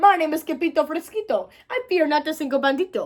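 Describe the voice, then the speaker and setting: Shaky and soft-spoken, a woman puts on a character voice at an extremely high pitch and a fairly quick pace. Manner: very soft, trembling.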